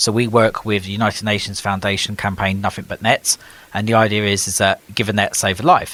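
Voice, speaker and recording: A man with an English accent, fairly low in pitch with a bright, sharp tone, fairly even intonation and a very fast pace, in a dry, close sound with no echo. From UK. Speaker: nonprofit organization leader, former city councillor. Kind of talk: podcast interview.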